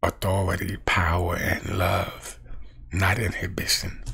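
Talking at a slow pace, a man with a low pitch has a bright, sharp tone and vocal fry.

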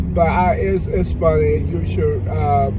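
A man speaks at a fairly slow pace over loud background noise, the sound dry with no echo. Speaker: vlogger. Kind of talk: casual vlog commentary. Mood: relaxed but opinionated. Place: car. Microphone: phone near.

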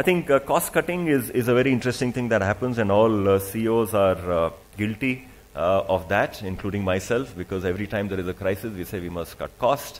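At a fairly quick pace with few pauses, a man talks at a fairly low pitch with ordinary pitch variation.

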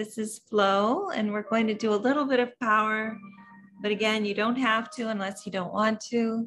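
A woman talks at a moderate pace with fairly even intonation. Faint music plays in the background. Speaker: yoga teacher. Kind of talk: casual chat, then class instruction. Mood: warm, relaxed. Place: home room. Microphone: webcam.

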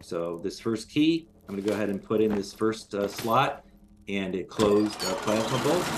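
A man speaks at a moderate pace in a fairly low pitch, with ordinary pitch variation. Noticeable background noise runs under his voice. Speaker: game developer. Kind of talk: gameplay walkthrough. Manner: halting, many fillers.

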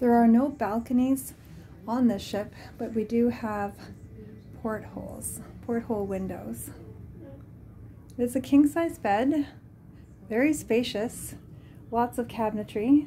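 At a fairly slow pace, a woman speaks with ordinary pitch variation and long, frequent pauses over light background noise. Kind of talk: casual room tour narration. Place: home room. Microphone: phone near.

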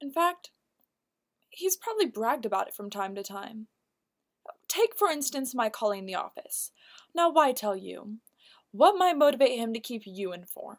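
A high-pitched woman's voice with very wide pitch swings, a moderate pace and long, frequent pauses, over a quiet background. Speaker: actor performing a monologue. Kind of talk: acted dramatic monologue. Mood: cool, pointed, insinuating. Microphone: webcam.

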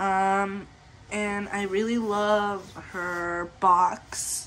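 Speaking at a very slow pace, a woman has a medium pitch and a fairly bright tone.

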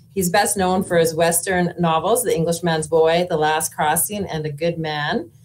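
With a Canadian Prairie accent, a woman speaks at a fairly low pitch and a moderate pace with hardly any pauses over light background noise. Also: fairly even intonation. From Saskatchewan, Canada (Moose Jaw); Saskatchewan. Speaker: panel moderator, author; panel moderator. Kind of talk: moderated panel introductions. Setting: festival stage with audience. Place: home room.

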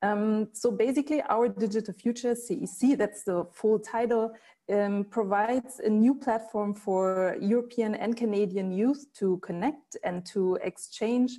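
A dark, mellow, somewhat breathy voice moves at a moderate pace with ordinary pitch variation over a quiet background. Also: woman. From Germany. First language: German. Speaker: cultural institute director; presenter. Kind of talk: presentation. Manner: hesitant, many fillers. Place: home room. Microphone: earbuds.

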